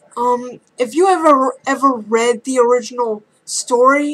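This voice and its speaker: A woman with a high pitch speaks with fairly even intonation. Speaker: YouTube film reviewer. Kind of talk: casual video review. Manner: halting, stumbling over words.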